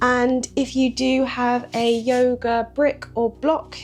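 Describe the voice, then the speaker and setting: A woman speaks at a high pitch with fairly even intonation. Music plays in the background. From British. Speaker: yoga teacher. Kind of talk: guided yoga breathwork instruction. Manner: calm, soft-spoken.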